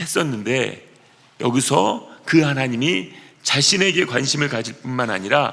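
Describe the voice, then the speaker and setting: This man's voice sits at a fairly high pitch. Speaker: pastor. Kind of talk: sermon.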